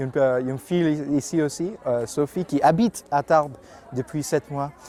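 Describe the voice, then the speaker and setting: Here a man talks at a fairly slow pace. His voice is fairly high, with ordinary pitch variation. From India, Mumbai. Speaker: language assistant. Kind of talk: interview. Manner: halting.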